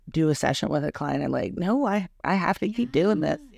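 In a very clean recording with a silent background, a woman speaks at a fairly quick pace with vocal fry. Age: 40s. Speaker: boudoir photographer. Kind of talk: casual interview chat. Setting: her studio, in person. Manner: loud, laughs often.

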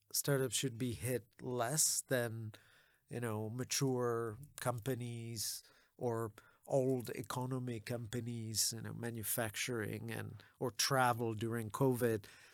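A man speaks at a very slow pace. His pitch is medium and his intonation fairly even. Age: 40s. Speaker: venture capital investor. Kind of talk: interview conversation.

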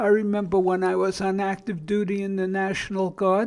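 A man speaks in a high voice with a Brooklyn accent. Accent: Brooklyn New York. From Brooklyn, New York. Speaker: podcast host on addiction and family. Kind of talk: monologue podcast talk. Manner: informal, not polished.

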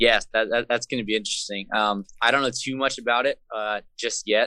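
A man with an American accent at a very fast pace, fairly low in pitch, monotone and flat, bright and sharp in tone, with a dry, close sound, no echo and a quiet background. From San Jose, California. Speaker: hardcore band vocalist. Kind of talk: casual interview chat. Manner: casual, hesitant with fillers.

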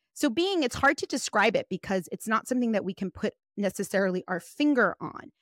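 A woman with an ordinary speaking voice talks at a fairly quick pace, fairly high in pitch with lively intonation. The recording is very clean with a silent background and a dry, close sound with no echo. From US, child of Guatemalan immigrants. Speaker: life and business coach. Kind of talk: casual interview chat.

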